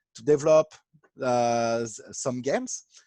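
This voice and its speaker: Speaking with a French accent, the voice is dark and mellow and moves at a very slow pace. The sound is dry and close with no echo, against a quiet background. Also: man. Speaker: artistic director of an online board game platform. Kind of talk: interview. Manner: halting.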